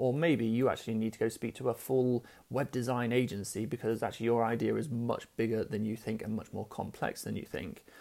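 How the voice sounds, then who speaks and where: Delivered with hardly any pauses, this man's unremarkable speaking voice has medium pitch, a fairly quick pace and fairly even intonation. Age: 30s. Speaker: podcast host and business founder. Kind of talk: solo monologue storytelling. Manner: casual, many fillers.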